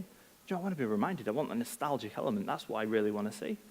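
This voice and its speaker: A man with a Manchester accent speaks with very wide pitch swings. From northern England, Manchester. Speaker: product head, conference speaker. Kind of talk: conference talk. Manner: casual, many filler ums.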